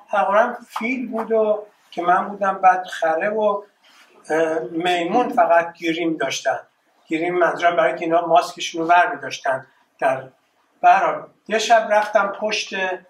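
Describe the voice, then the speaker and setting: With audible room echo, a man talks at a moderate pace in a high voice, his pitch varying in an ordinary way and broken by long, frequent pauses. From Iran, Tehran. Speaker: artist. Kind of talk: presentation. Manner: halting. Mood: reflective, reminiscing. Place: hall. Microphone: camera far.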